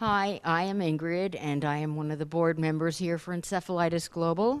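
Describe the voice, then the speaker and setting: In a very clean recording with a silent background, a woman uses an ordinary speaking voice, fairly low in pitch, at a moderate pace. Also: fairly even intonation. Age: 60s. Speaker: encephalitis survivor, support group board member. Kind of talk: self-introduction at a conference. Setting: conference room with group.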